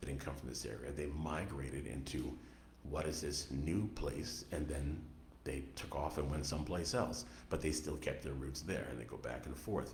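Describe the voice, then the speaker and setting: A man with an American accent and a very deep, low voice is heard with audible room echo and noticeable background noise. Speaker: author. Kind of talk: radio interview.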